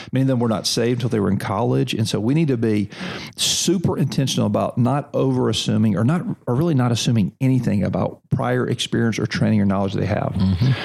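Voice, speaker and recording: Lively intonation marks a man's very fast speech. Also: medium pitch for a man. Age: 40s. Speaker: seminary president. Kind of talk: interview conversation. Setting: on a seminary campus.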